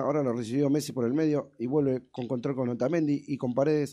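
A man talks at a fairly quick pace, with a fairly high pitch and a dark, mellow tone. His intonation stays fairly even against a quiet background. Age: 40s. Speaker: sports show host. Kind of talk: live commentary. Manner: fast.

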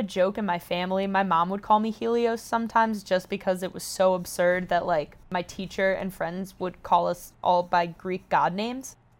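On a very clean recording with a silent background, a woman with a normal speaking voice talks at a moderate pace in an American accent, her medium pitch showing ordinary variation. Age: 20s. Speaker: social media personality. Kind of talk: casual chat.

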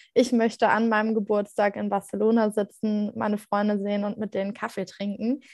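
An ordinary speaking voice moves at a fairly quick pace. The recording is very clean, with a silent background. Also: woman. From Germany, Mainz area. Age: 20s. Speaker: cancer survivor and blogger. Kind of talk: interview.

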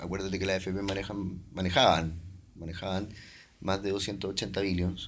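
Flat, monotone delivery at a fairly slow pace, with audible room echo. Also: man, very deep, low pitch for a man. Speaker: investment banker. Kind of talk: casual interview.

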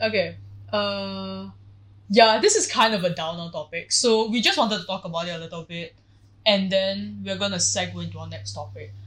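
Recorded very cleanly against a silent background, a woman speaks at a moderate pace with big swings in loudness. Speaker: podcast co-host. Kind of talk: casual chat. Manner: animated.

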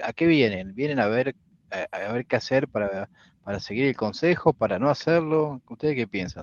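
An unremarkable speaking voice with lively intonation moves at a moderate pace. The sound is dry and close with no echo over a quiet background. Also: man, medium pitch for a man. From Pergamino, interior of Buenos Aires province, Argentina. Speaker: podcast co-host, woodworker. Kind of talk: casual chat. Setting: live stream.

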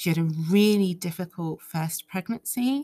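A woman speaks in a fairly low pitch. Her voice is somewhat breathy. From England, Ugandan heritage. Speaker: solo podcaster. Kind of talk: casual monologue. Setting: recording at home. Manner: animated.

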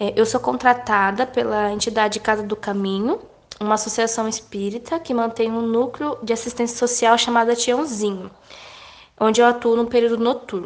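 A woman has a normal speaking voice with a fairly high pitch. She keeps a moderate pace and fairly even intonation. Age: 20s. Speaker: literacy educator. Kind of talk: interview.

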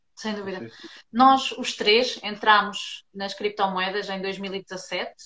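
Ordinary pitch variation in a medium-pitched female voice. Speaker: podcast host. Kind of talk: casual interview.

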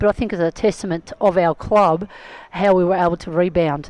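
Speaking with an Australian accent, a woman has a dark, mellow tone at medium pitch, ordinary pitch variation and a fairly quick pace. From Melbourne, Australia. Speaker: footballer and club founder. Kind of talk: interview.

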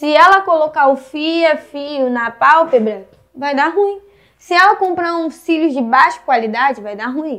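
A woman's intonation is lively. She goes fairly slowly. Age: 20s. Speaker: eyelash extension technician. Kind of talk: vlog rant. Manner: animated.

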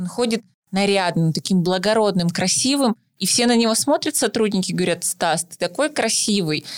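In a plain, everyday voice, a woman speaks at a medium pitch and moderate pace with lively intonation, the sound dry and close with no echo. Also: big swings in loudness. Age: 20s. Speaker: psychologist, podcast co-host. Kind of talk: casual chat.

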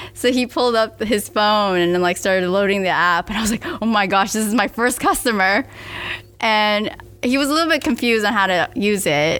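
In a normal speaking voice, a woman with an American accent talks at a fairly quick pace and a fairly high pitch, her loudness very even. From US South (Miami, Florida). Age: 20s. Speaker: startup founder. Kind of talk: casual interview.

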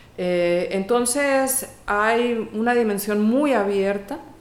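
A woman's medium-pitched voice with ordinary pitch variation and audible room echo. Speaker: music professor. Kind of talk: interview.

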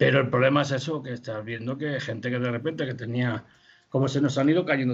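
Somewhat breathy, a man talks at medium pitch with ordinary pitch variation. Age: 60s. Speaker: puppet festival director. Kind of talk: interview. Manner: halting.

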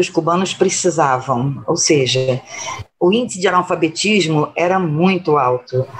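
In a normal speaking voice, a woman speaks at a fairly slow pace, her fairly low pitch carrying lively intonation. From Brazil. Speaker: solidarity activist. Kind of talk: interview.

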